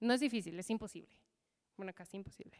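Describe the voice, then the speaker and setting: In an animated tone, a woman speaks over a quiet background. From US, Michigan. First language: English (speaking Spanish). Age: 30s. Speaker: leadership coach; keynote speaker. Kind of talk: motivational talk. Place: hall. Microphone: handheld.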